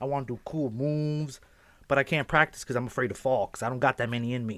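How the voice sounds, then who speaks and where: An animated man speaks at a very fast pace. His pitch sits at a medium level. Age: 40s. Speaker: podcast host. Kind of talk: casual chat.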